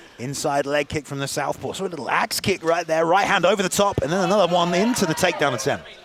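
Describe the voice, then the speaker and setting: A loud, very fast man with a high voice, hardly any pauses and ordinary pitch variation, over noticeable background noise. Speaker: MMA commentator. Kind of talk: live commentary.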